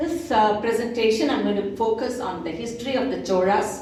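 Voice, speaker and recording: Against noticeable background noise and audible room echo, a woman with a Tamil accent speaks at a moderate pace. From South India, Telugu-speaking region. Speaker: translator and lecturer. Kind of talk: lecture. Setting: cultural center presentation with audience.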